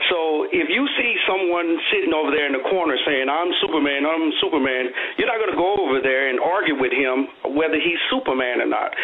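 Talking at a fairly quick pace, a man with a fairly high voice is heard over noticeable background noise. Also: ordinary pitch variation. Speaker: caller. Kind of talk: caller opinion. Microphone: phone line.

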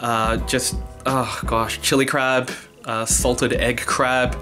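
A man at a very slow pace, with clear music in the background. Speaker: vlogger. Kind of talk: casual vlog chat. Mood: cheerful, laughing at times. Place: home room. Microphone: phone near.

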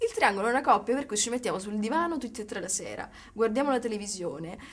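A woman's fairly high, lively voice at a very fast pace. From Sicily, Catania; Sicily. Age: 20s. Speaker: writer; interviewee. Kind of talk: interview. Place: studio.

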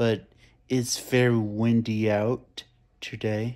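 Speech moves at a very slow pace. Nothing much sounds in the quiet background. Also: man. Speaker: vlogger. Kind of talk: casual vlog chat. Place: home room. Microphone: phone near.

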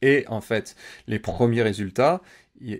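This man's voice sits at a medium pitch with ordinary pitch variation. The background is quiet. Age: 30s. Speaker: Amazon advertising campaign manager; interview guest. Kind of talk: interview. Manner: hesitant, many fillers. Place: home room. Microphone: video call.

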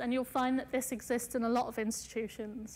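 A woman with a fairly high pitch speaks in a monotone, flat intonation. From Punjab, India, then England from primary school age. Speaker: artist. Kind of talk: lecture. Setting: lecture hall with audience. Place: hall.

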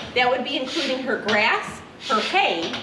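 A woman speaks in a raised, projected voice. Noticeable background noise can be heard. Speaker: farm educator tour guide. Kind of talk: tutorial. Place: farm machine.

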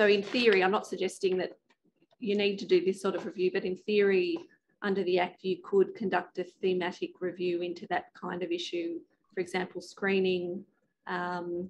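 Her tone slightly mellow, a woman speaks at a moderate pace in a fairly low pitch with little pitch movement.

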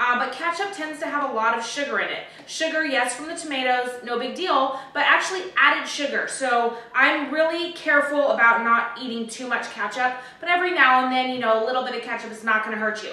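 In a raised, projected voice, a woman speaks at a fairly quick pace with hardly any pauses as audible room echo fills the space. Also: ordinary pitch variation. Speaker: home cooking host. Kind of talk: tutorial. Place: kitchen. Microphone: camera far.

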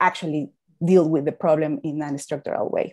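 A woman with a Spanish accent speaks at a fairly quick pace in a fairly low pitch, her tone dark and mellow against a quiet background. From Mexico. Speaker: climate finance expert; panel expert. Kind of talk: panel discussion. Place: home room. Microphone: earbuds.

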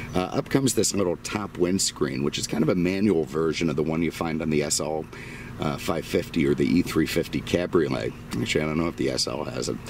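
A man with a very deep, low pitch speaks at a fairly quick pace with ordinary pitch variation, in a dry sound with no echo over light background noise. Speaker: car dealer reviewer. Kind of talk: car review walkaround commentary. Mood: relaxed, jokey. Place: car. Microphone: phone near.

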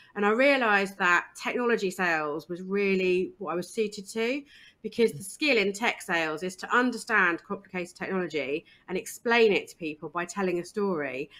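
Energetic in tone, a woman talks fairly quickly in a southern English accent. Her intonation is lively. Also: medium pitch for a woman. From eastern England. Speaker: diversity and inclusion consultant. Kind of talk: interview.

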